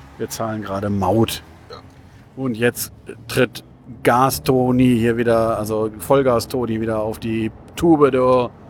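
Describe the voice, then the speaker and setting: A man talks at a fairly slow pace, taking long, frequent pauses, against noticeable background noise. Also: medium pitch for a man, fairly even intonation. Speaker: podcast host. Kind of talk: casual chat. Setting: in a car.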